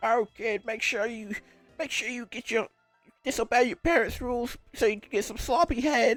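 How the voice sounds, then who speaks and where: A female-sounding, put-on character voice pitched fairly high. Faint music plays in the background. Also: moderate pace. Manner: put-on, crude.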